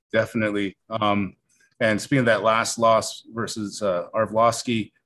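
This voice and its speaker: In a Canadian accent, the speaker keeps a moderate pace over a quiet background. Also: man. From Canada, small-town Alberta (Carstairs); Alberta, Canada. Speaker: podcast host, MMA coach. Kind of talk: interview. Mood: casual, curious. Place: studio. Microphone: studio mic.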